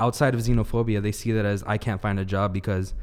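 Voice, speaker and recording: On a very clean recording with a silent background, a man with a Southern Californian accent talks at a fairly quick pace with fairly even intonation. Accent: Southern California American. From Los Angeles, California. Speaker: urban planning student. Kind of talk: casual panel discussion. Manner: earnest, personal.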